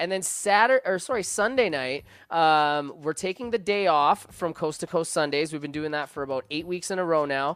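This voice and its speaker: Talking at a moderate pace with hardly any pauses, a man has fairly high pitch, an animated tone and ordinary pitch variation on a very clean recording with a silent background. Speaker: DJ and podcast co-host. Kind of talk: casual chat. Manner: joking, animated.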